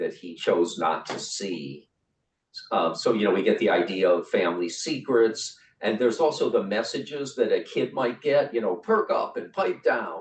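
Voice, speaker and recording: With a Cleveland accent, a man speaks at a moderate pace. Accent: Great Lakes, Cleveland. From US Midwest, Cleveland, Great Lakes. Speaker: writer and writing workshop leader. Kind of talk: online workshop facilitation. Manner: halting, many fillers and repeats.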